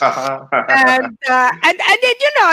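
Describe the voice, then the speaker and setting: In an Italian accent, a woman uses a raised, projected voice with a bright, sharp tone and high pitch. She talks at a fairly slow pace, and the sound is dry and close with no echo. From Italy. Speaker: comedian. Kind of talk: stand-up. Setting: video call.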